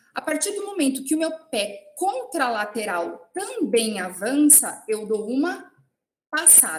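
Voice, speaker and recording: Very slow, high-pitched speech from a woman, with very wide pitch swings and audible room echo. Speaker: professor. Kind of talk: lecture.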